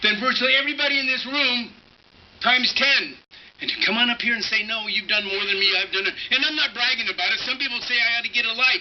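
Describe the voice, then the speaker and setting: Over noticeable background noise, a man with an American accent talks at a very fast pace, his pitch extremely high and his intonation fairly even. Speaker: local government-meeting gadfly and activist. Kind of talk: public testimony at a government meeting. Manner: emphatic, indignant, rambling.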